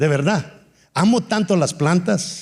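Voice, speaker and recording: A dark, mellow tone with ordinary pitch variation comes through in a very clean recording with a silent background. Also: man. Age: 60s. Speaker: pastor. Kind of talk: sermon.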